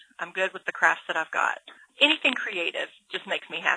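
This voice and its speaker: Fairly quick in pace, a woman talks with a Southern US accent. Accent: Southern US (Georgia). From Georgia. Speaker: author and illustrator. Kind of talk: interview.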